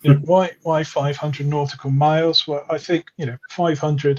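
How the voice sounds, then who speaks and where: A man talks fairly quickly in a somewhat breathy voice, his intonation fairly even. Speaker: independent researcher. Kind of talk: interview chat. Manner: fast.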